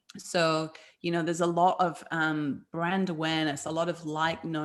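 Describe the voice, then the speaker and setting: In a British accent at a moderate pace, on a very clean recording with a silent background. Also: woman. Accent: UK. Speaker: food business founder and health coach. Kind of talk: interview. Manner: animated.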